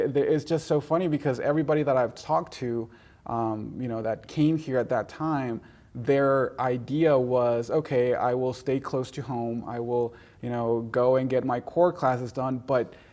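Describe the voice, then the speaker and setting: Speaking at a fairly slow pace in a Spanish accent, a man with a medium pitch and a dark, mellow tone keeps a fairly even intonation on a very clean recording with a silent background. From Mexico, raised in Gwinnett County, Georgia. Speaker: college alumnus. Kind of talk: interview. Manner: halting, many fillers and repetitions.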